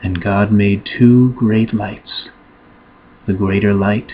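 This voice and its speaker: Soft-spoken and gentle in tone, a man talks at a very slow pace in a fairly low pitch with monotone, flat intonation. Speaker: Bible reader, ASMR channel host. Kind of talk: gentle Bible reading, ASMR relaxation. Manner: gentle, soft-spoken, slow.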